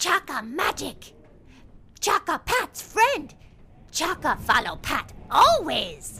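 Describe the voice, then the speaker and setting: A put-on character voice, delivered at a very slow pace. Long pauses come often throughout. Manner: broken speech, excitable.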